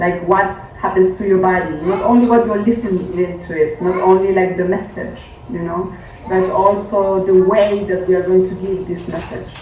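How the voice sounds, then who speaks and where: Speaking at a moderate pace with a Spanish accent, this voice comes through over noticeable background noise. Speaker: feminist performance artist and activist. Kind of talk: panel talk and interpreting. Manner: halting, many fillers.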